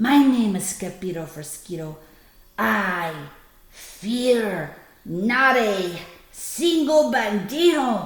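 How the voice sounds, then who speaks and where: A woman puts on a growling character voice, soft-spoken and shaky, at medium pitch with very wide pitch swings. She goes at a very slow pace with long, frequent pauses, and there is a slight echo. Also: big swings in loudness. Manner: very soft, trembling.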